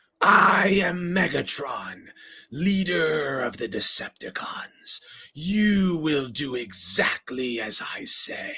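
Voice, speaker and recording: This man does a put-on character voice, raspy and high in pitch. He talks at a very slow pace. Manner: menacing, commanding.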